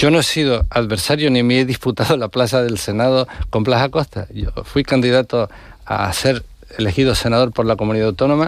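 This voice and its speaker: Speaking very fast, a man at medium pitch shows ordinary pitch variation. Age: 60s. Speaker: politician. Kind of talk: radio interview.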